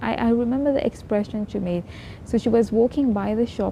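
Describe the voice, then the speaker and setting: A woman talks at a moderate pace in a somewhat breathy voice with lively intonation. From Mauritius. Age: 20s. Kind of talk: casual talk to camera.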